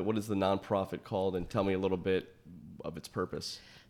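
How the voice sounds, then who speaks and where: A man with a fairly low pitch and an unremarkable speaking voice, on a very clean recording with a silent background. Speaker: podcast host. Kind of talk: interview conversation. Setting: in-person recording space.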